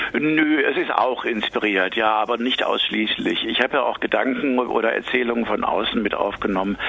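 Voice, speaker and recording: There is noticeable background noise behind a man talking. He keeps a moderate pace with hardly any pauses. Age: 50s. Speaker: author. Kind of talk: interview. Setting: phone call.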